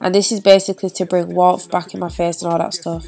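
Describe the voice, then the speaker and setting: Over music in the background, the voice stays monotone, with flat intonation. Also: woman. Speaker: beauty vlogger. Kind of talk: makeup tutorial.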